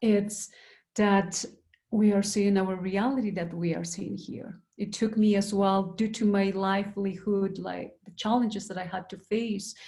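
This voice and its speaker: This woman's voice has a dark, mellow tone, somewhat breathy, at a medium pitch, with a monotone, flat delivery. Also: fairly slow pace. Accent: Andean. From Peru. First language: Quechua. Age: young. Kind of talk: panel discussion. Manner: halting.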